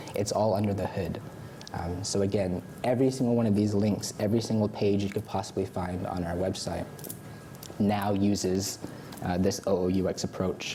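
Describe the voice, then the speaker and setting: In a room with audible echo, a man talks at a moderate pace with an American accent. His fairly low voice stays monotone and flat. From United States. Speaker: content designer and user researcher. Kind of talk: conference talk. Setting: stage with audience. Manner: hesitant fillers.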